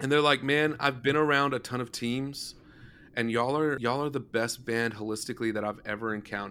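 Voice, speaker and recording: In a very clean recording with a silent background, a man with a normal speaking voice talks at a fairly quick pace, medium pitch and fairly even intonation. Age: 20s. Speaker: worship leader and band musician. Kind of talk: casual interview chat.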